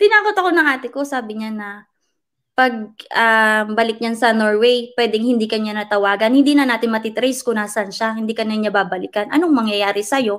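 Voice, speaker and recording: Woman with a normal speaking voice, fairly high pitch and ordinary pitch variation, fairly quick pace, very clean recording with a silent background. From Philippines, Orion Bataan. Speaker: vlogger. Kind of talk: interview.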